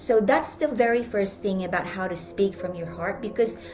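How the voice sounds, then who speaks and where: A woman with a Filipino accent speaks at a medium pitch with ordinary pitch variation, with audible room echo and music in the background. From Philippines. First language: Filipino language. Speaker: life coach and speaker. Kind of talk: live stream talk.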